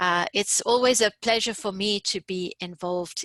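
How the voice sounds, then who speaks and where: Against a quiet background, a woman with a South African accent talks in a bright, sharp tone with ordinary pitch variation and a dry, close sound with no echo. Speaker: course instructor and researcher. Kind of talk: webinar presentation. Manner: hesitant, many fillers.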